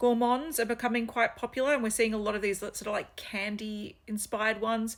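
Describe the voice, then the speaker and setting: In an Australian accent, a woman speaks with a fairly high voice. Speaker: fragrance reviewer. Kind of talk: casual product review vlog. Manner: casual, hesitant with fillers.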